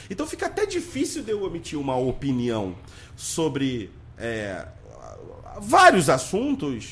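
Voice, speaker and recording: This is a man's voice. He is loud. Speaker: podcast host. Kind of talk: casual interview. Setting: studio with cameras.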